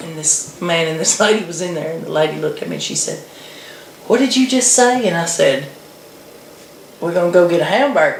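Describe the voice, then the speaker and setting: With an American accent, a woman speaks fairly quickly at a fairly low pitch, using lively intonation, big swings in loudness and long, frequent pauses, amid audible room echo and noticeable background noise. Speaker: video blogger. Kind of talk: casual chat.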